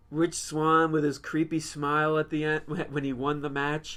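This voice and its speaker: A man mumbles in a fairly high voice on a very clean recording with a silent background. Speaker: wrestling podcast co-host. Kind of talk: casual chat. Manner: mumbling.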